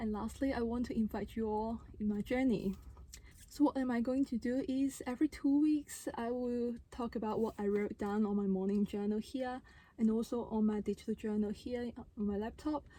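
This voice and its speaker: Her voice is fairly high for a woman, with a dark, mellow tone. She keeps a moderate pace and fairly even intonation. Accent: non-native. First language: not English. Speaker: vlogger and handpan musician. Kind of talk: casual vlog talk to camera. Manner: unscripted, conversational.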